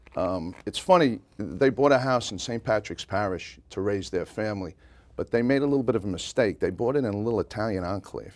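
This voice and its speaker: A man with a slight Brooklyn accent talks at a fairly quick pace and a fairly low pitch, with ordinary pitch variation. The recording is very clean, with a silent background. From New York City, Brooklyn (Bay Ridge). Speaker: pub owner, parade grand marshal. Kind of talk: interview.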